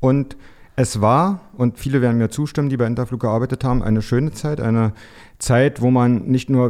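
The recording is very clean, and its background is silent. A man's voice comes through with a dark, mellow tone. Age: 50s. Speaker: aviation PR consultant. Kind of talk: interview.

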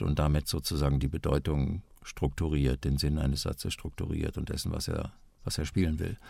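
Speaking at a moderate pace, a man uses a very deep, low voice with vocal fry. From Westphalia, Germany. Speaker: voice actor. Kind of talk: interview. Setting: remote call.

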